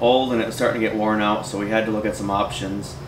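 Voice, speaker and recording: The man's voice is fairly low with fairly even intonation. Noticeable background noise runs underneath. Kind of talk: interview answer. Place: office.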